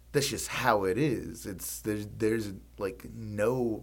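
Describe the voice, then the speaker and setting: Audible room echo surrounds a man's fairly low voice, which has vocal fry and lively intonation. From Mississippi. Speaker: podcast co-host. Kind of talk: casual chat. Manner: halting, many fillers.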